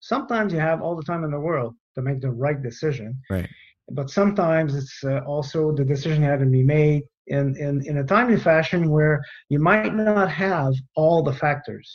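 A man with a French Canadian accent, somewhat breathy and fairly high-pitched, at a moderate pace with ordinary pitch variation. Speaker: retired air force general. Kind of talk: interview.

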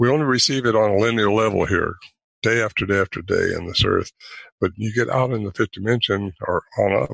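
A man with an American accent speaks at a fairly quick pace in an unremarkable speaking voice. His pitch is medium, with ordinary pitch variation. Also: dry, close sound with no echo. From United States. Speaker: Bigfoot researcher and author. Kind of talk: interview.

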